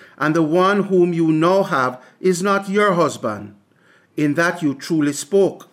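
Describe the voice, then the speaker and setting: A man with a plain, everyday voice, fairly high in pitch, at a fairly slow pace. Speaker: preacher. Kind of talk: scripture reading. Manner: measured, reverent.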